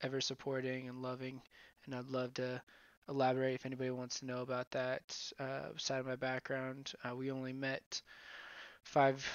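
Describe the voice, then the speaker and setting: A man speaks with an American accent at a moderate pace. His medium-pitched voice stays monotone and flat. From Sonoma County, California. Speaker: podcaster. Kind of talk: casual monologue.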